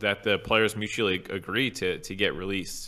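Fairly low in pitch, a man with an unremarkable speaking voice talks at a fairly quick pace with ordinary pitch variation. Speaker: podcast co-host. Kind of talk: casual chat.

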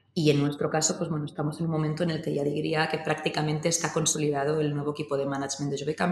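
Noticeable background noise can be heard. Over it, a woman talks. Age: 30s. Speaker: winery CEO. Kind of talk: interview. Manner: halting.

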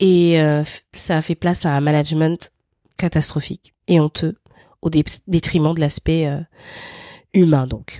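Speaking at a fairly slow pace with long, frequent pauses, a woman with a very deep, low pitch and dark, mellow tone keeps her intonation fairly even, in a dry, close sound with no echo. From Gabon (Libreville). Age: 30s. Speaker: podcast host and freelance content strategist. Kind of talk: personal narrative monologue.

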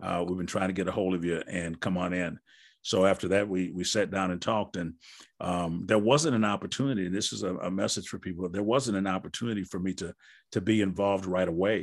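With an American accent, a man speaks fairly quickly in a very deep, low pitch and fairly even intonation against a quiet background. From Wisconsin. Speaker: basketball coach and author. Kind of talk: interview, casual conversation.

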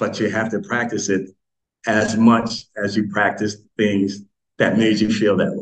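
A man with an ordinary speaking voice talks at a moderate pace, his pitch fairly low and his intonation fairly even. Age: 60s. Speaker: author and self-help speaker. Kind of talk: interview conversation.

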